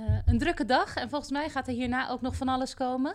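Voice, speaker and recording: A woman speaks at a moderate pace. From Rotterdam, Netherlands. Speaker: teacher and podcast host. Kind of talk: interview. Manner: halting, many fillers.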